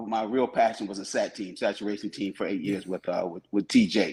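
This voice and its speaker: A man talks at a fairly quick pace in a fairly low pitch, his tone dark and mellow and his intonation monotone and flat. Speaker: retired police officer. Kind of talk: casual chat. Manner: fast.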